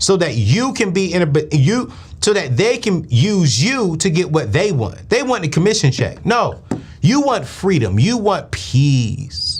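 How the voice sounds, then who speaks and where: In a room with audible echo, a man with a high pitch talks at a fairly slow pace, animated in tone, his pitch swinging very widely. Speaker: finance show host. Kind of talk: live call-in show.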